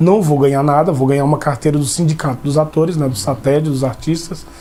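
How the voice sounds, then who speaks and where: At a fairly quick pace, a man delivers his words in a fairly high pitch. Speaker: actor. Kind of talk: interview. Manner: halting, with many restarts.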